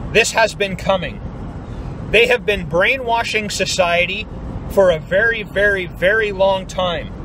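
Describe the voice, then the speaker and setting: A man speaks in a raised, projected voice at a high pitch and a fairly slow pace. His intonation is fairly even, the sound dry with no echo, and there is noticeable background noise. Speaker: YouTube vlogger. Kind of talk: angry rant; vlog monologue. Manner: forceful, emphatic, blunt. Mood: upset, worried, indignant. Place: car. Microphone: phone near.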